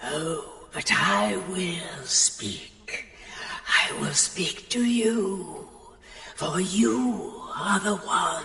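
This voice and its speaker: A growling put-on character voice moves at a very slow pace, with a clear echo and clear background noise. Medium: video game. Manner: slow, solemn, otherworldly.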